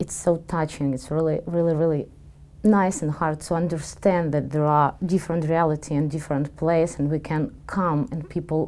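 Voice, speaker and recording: The voice has a dark, mellow tone and fairly even intonation, delivered at a moderate pace. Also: woman. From Ukraine, Dnipro. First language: Ukrainian or Russian. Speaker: Israeli dance teacher. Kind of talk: interview testimony.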